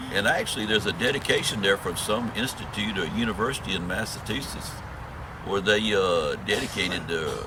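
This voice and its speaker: A man with a Southern US accent, fairly low-pitched and fairly quick, with ordinary pitch variation, audible room echo and noticeable background noise. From US South, south Georgia near Florida line. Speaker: long-distance hiker. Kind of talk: interview. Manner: halting.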